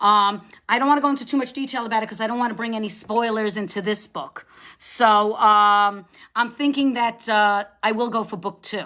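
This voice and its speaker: A woman's fairly high voice with a New York accent, bright and sharp in tone, at a moderate pace with ordinary pitch variation. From New York, Long Island area. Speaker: debut novelist. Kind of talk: live-stream book chat. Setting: live video stream. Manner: chatty, hesitant with fillers.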